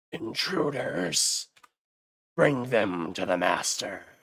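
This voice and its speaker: In a put-on character voice, a man speaks very slowly with a raspy, medium-pitched sound. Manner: commanding, sinister.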